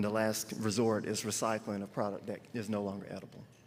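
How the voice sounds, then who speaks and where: A man with a North Carolina accent, medium in pitch, talking very fast in a monotone, flat way. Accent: North Carolina Southern. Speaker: grocery retail representative. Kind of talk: panel discussion.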